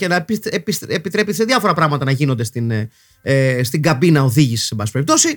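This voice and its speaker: With very wide pitch swings, a man moves along at a fairly quick pace. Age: 40s. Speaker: podcast host. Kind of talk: casual monologue podcast. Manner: halting, frequent fillers.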